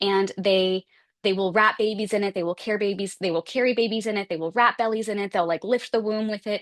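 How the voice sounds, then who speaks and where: At a fairly quick pace, a woman speaks in a medium pitch with a dry, close sound and no echo. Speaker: symposium presenter. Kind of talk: conference talk. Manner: fast; casual, animated.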